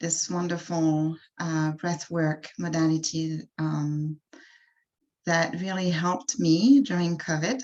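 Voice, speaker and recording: In a French accent, a woman talks at a very slow pace. Her voice is fairly low, with ordinary pitch variation. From France. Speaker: wellness coach. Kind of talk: workshop presentation. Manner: halting, many fillers.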